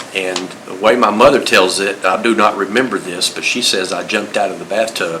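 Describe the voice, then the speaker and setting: With a North Carolina accent, a man of fairly low pitch speaks at a fairly quick pace and fairly even intonation, with audible room echo and noticeable background noise. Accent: US Southern (North Carolina). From North Carolina, Greensboro. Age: 60s. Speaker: retired fire marshal. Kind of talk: oral history interview. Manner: halting, many fillers.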